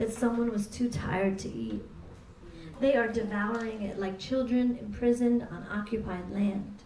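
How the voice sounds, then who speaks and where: A woman with an American accent, fairly high in pitch, at a fairly slow pace with fairly even intonation, against noticeable background noise. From New York City. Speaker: poet. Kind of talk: poetry reading. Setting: live venue.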